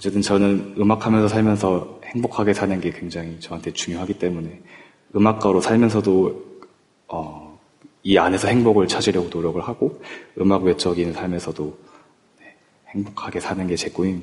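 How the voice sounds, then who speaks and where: The intonation stays fairly even and the pace moderate, though the loudness swings a lot. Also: man, very deep, low pitch for a man. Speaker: string quartet musician. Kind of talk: interview.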